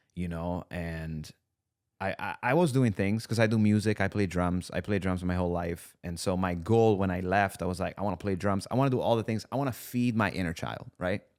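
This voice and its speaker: A man with a slight Italian accent speaks in a very deep, low pitch at a fairly quick pace, with ordinary pitch variation, in a very clean recording with a silent background. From Italy, near Bologna. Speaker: content creator and musician. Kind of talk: casual podcast interview. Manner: casual, many fillers.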